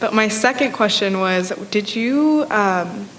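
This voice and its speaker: A woman speaks with a fairly high pitch and ordinary pitch variation. Noticeable background noise runs behind her. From Mexico. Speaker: student audience member. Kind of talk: audience question. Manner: hesitant, many fillers.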